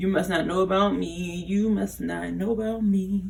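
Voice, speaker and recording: A woman speaks quietly. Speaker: YouTuber commenting on celebrity drama. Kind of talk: casual commentary vlog. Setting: at home late at night. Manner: quiet, low voice.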